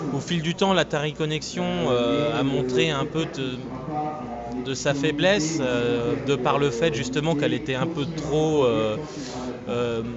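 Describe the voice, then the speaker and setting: A man's voice with audible room echo, ordinary pitch variation and noticeable background noise. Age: 30s. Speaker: retro gaming event organizer. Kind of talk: interview.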